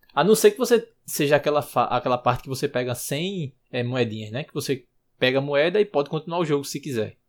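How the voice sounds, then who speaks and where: A man with a normal speaking voice talks at a fairly quick pace in a fairly high pitch, with lively intonation and big swings in loudness, on a very clean recording with a silent background. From Recife, Brazil. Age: 20s. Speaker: designer, podcast fan guest. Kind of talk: casual chat.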